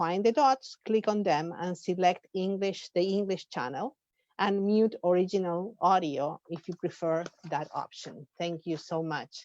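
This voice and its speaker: In an Argentine accent, a woman talks at a very slow pace and a medium pitch with ordinary pitch variation, her sound dry and close with no echo. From Argentina. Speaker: professor and conference organizer. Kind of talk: formal conference welcome speech. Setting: webinar video call. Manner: hesitant, with fillers and restarts.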